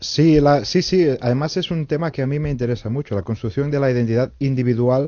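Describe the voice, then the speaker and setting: This man speaks in a normal speaking voice. He moves at a fairly quick pace with ordinary pitch variation. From Catalonia. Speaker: novelist. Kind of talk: radio interview.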